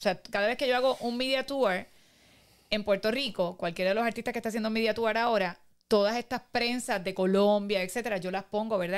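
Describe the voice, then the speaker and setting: A woman at a very fast pace, with ordinary pitch variation, on a very clean recording with a silent background. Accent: Cuban. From Cuba, Pinar del Río. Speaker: podcast guest, Cuban immigrant. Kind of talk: casual interview, personal story. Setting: studio.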